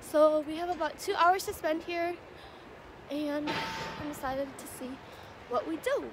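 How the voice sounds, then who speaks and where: The speaker's loudness swings widely at a moderate pace, with ordinary pitch variation. The sound is dry with no echo, though background noise is noticeable. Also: woman, high pitch for a woman. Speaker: student vlogger. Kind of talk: casual vlog chat. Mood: cheerful, upbeat. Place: street. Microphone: phone near.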